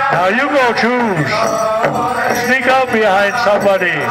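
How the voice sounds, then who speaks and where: The pace is very slow as a man speaks. Loud music plays in the background. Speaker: dance announcer. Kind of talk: commentary. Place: open country.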